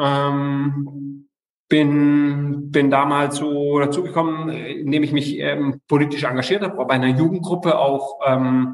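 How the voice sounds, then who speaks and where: The man's voice sits at a fairly high pitch. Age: 40s. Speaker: local politician. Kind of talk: interview. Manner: halting, many fillers.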